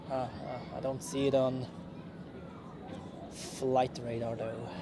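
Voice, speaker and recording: A man's medium-pitched, flat monotone at a very slow pace, with noticeable background noise and audible room echo. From Switzerland. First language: Swiss German. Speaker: plane spotting livestreamer. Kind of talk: live commentary. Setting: outdoors. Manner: casual, chatty.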